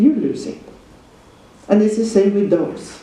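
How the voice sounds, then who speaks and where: There is noticeable background noise. The speaker has a Norwegian accent. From Norway. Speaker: dog trainer and seminar teacher. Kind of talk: lecture.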